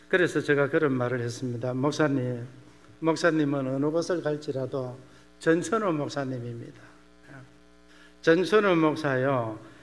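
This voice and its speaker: A man talks at a fairly slow pace with long, frequent pauses and a fairly high pitch. His pitch variation is ordinary, and room echo is audible. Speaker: missionary pastor. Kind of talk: sermon.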